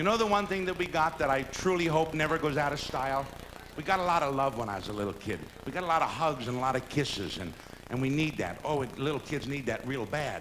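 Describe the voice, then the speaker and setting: Speech rushes by at a very fast pace amid noticeable background noise. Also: man, fairly high pitch for a man, lively intonation. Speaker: lounge entertainer. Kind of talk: live stand-up comedy monologue. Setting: live hotel theater performance.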